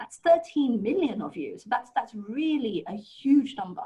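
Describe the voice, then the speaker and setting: A somewhat breathy woman with a British accent, at a moderate pace with very wide pitch swings. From UK. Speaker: HR consultant, presenter. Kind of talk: webinar talk.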